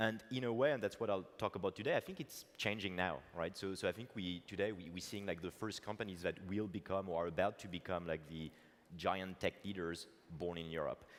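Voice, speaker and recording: A man speaks fairly quickly with a French accent. His fairly low voice has ordinary pitch variation. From France. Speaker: tech entrepreneur. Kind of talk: conference keynote talk. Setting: stage with audience. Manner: hesitant with fillers.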